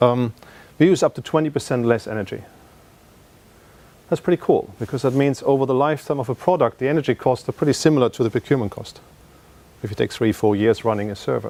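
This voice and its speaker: Very fast yet broken by long, frequent pauses, a man's medium-pitched voice has a dark, mellow tone, ordinary pitch variation and a dry, close sound with no echo. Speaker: tech company product presenter. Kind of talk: conference presentation.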